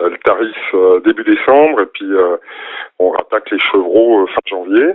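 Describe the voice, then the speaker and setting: A man is speaking. He keeps a moderate pace. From France, Dijon. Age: 40s. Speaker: goat cheese farmer. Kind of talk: radio call-in interview.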